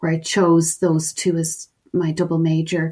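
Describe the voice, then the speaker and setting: A woman with an Irish accent speaks at a moderate pace. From Ireland, Dublin. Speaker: professor, forensic researcher. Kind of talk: interview.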